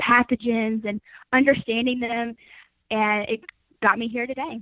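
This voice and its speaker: A fairly high-pitched woman with an American accent, at a moderate pace with fairly even intonation. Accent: Southern US, reduced by training. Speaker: agriscience student researcher. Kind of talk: interview. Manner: hesitant, many fillers.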